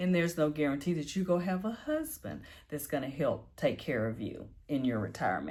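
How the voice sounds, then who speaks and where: This woman has a very deep, low pitch with vocal fry, lively intonation and a fairly quick pace. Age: 50s. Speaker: personal finance vlogger. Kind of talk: casual vlog talk. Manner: conversational.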